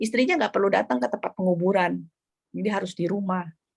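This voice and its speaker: The recording has a dry, close sound with no echo. A woman is speaking. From Jakarta, Indonesia. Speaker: novelist. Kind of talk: book club discussion. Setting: video call. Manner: hesitant with fillers.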